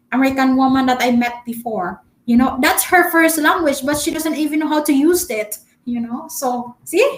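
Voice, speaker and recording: A woman's high voice with a Filipino accent, ordinary pitch variation and a moderate pace. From Philippines. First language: Filipino dialect. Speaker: travel vlogger. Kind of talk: live stream chat. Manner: halting, many fillers; talkative.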